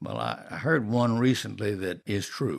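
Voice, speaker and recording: A man with a Southern US accent, fairly low-pitched with vocal fry and ordinary pitch variation, on a very clean recording with a silent background. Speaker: artist. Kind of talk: travel guide narration. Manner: folksy, storytelling.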